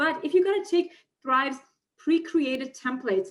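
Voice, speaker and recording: A woman with a non-native accent talks at a very fast pace, her pitch varying in an ordinary way over a quiet background. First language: not English. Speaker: online marketer and funnel builder; interview guest. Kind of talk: interview. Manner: animated. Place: home room. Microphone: webcam.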